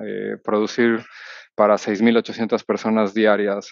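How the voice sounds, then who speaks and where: This man's voice sits at a fairly low pitch. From Mexico City. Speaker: cruise ship executive sous-chef. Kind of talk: interview. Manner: halting, many fillers.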